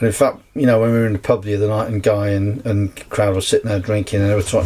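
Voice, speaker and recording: Noticeable background noise sits behind this recording. A man speaks very fast in a fairly low pitch. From North Wales. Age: 60s. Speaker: actor and festival organiser. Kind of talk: casual podcast interview. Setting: on a canal boat.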